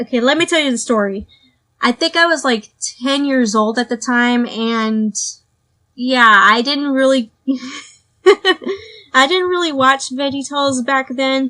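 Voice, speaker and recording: A woman projects a raised voice at a high pitch, bright and sharp in tone, with lively intonation and a fairly slow pace. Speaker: podcast host. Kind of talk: casual monologue podcast. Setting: at home.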